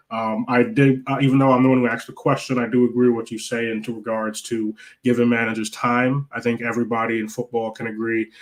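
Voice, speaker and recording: A man with a medium pitch and an American accent talks at a very fast pace in a monotone, flat delivery. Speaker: football fan podcast host. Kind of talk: live stream match reaction chat.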